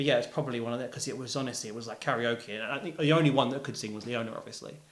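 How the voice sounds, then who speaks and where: This man speaks at a very fast pace with a London accent. His pitch is medium, with ordinary variation. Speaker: musician. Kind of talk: casual interview chat. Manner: loud; animated.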